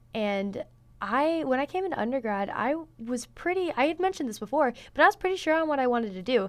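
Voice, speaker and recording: Against a quiet background, a voice with a Midwestern American accent rushes at a very fast pace with very wide pitch swings. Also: woman, high pitch for a woman. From northern Indiana, US Midwest. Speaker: beauty pageant titleholder and college student. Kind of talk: interview. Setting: studio.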